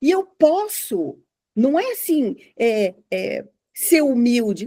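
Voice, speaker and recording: A woman with a high pitch and a dark, mellow tone moves through very wide pitch swings. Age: 60s. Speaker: journalist and psychologist. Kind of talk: casual podcast conversation.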